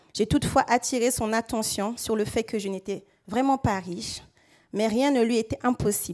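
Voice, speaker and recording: Against a very clean recording with a silent background, a woman with a Central African accent speaks at a medium pitch and moderate pace with fairly even intonation. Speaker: local elected official and resident. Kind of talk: prepared speech. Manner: formal.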